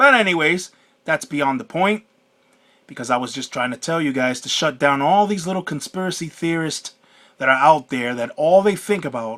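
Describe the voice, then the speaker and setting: With an American accent, a man speaks at a moderate pace in a fairly high pitch, his bright, sharp tone carrying lively intonation. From United States. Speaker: YouTuber. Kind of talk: vlog monologue. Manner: halting.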